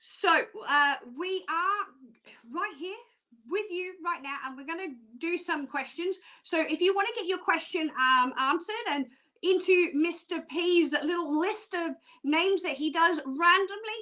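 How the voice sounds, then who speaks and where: At a fairly slow pace, a woman uses a raised, projected voice in an extremely high pitch, with a bright, sharp tone and ordinary pitch variation. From Australia. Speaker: psychic show presenter. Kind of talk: live stream presenting. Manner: casual, chatty, many fillers.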